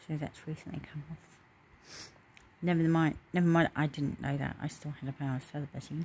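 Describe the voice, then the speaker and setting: Her pitch is very deep and low, and the intonation stays monotone and flat. The woman sounds somewhat breathy, with light background noise. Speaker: vlogger. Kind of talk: casual vlog chat. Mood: personal, reflective. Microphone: phone near.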